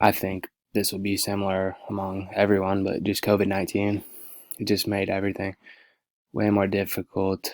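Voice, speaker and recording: A soft-spoken man at a moderate pace with a fairly low pitch and monotone, flat intonation, on a very clean recording with a silent background and a dry, close sound with no echo. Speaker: student teacher. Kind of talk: class presentation. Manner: halting.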